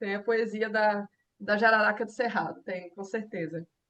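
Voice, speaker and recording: With a fairly high pitch, a woman's words come at a fairly slow rate. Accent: Goiás. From Brazil, interior of Goiás. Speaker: herpetologist. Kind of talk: interview.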